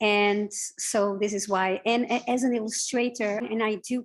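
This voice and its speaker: A woman speaks with a Portuguese accent at a fairly high pitch and a fairly slow pace. Her intonation is fairly even, and the background is quiet. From Portugal. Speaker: illustrator and visual artist. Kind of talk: interview. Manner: halting, many fillers.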